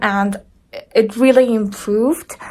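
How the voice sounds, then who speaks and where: Speaking at a very slow pace, a woman with a non-native accent uses a fairly high pitch and ordinary pitch variation. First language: not English. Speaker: vlogger sharing surgery recovery. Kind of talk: casual vlog, personal experience. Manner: halting, many restarts.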